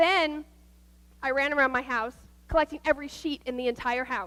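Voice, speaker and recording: An animated, bright and sharp voice with ordinary pitch variation speaks in an American accent. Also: woman. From US Midwest, Nebraska. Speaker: guest speaker at church, nurse. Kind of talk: sermon. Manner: fast.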